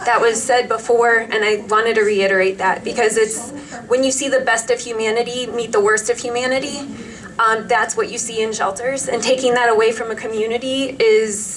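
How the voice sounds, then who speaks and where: Over noticeable background noise, a woman with an American accent talks at a moderate pace, fairly high in pitch and monotone, with flat intonation. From Cleveland, Ohio. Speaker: teacher speaking at public comment. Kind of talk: public comment at county commissioners meeting.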